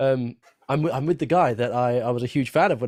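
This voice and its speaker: The recording has a dry, close sound with no echo, as a man in a plain, everyday voice speaks at a medium pitch and a fairly quick pace. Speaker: guitar educator, live stream host. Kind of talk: live stream chat.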